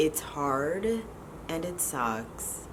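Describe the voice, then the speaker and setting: A woman speaks quietly and very slowly in a very deep, low voice, with audible echo from the room. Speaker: vlogger. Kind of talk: casual vlog. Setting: at home.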